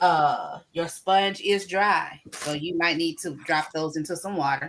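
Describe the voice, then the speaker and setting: In a plain, everyday voice, a woman speaks fairly slowly at a fairly low pitch with fairly even intonation. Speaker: gardening livestream host. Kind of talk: live-stream gardening tutorial.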